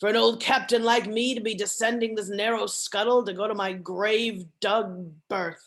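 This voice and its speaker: A woman does a put-on character voice at a fairly high pitch and moderate pace. Her intonation stays fairly even, with hardly any pauses. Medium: read story. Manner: archaic, imperious speech.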